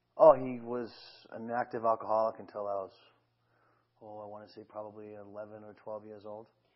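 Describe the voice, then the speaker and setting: A man speaks with a Boston accent. His intonation is flat and monotone. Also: big swings in loudness. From Boston, Massachusetts. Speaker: talk show guest. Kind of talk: interview. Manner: halting, many fillers.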